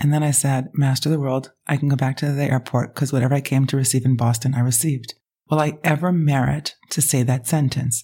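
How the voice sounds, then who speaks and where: The voice is somewhat breathy, with a dark, mellow tone. It moves at a fairly quick pace. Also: woman. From Israel. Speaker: rabbi and spiritual mentor. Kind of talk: casual interview conversation. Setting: her apartment.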